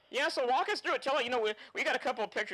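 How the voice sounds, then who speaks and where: Pitch swings very widely as a man speaks in a raised, projected voice. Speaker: motorsports show host. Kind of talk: show hosting and interview. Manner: fast.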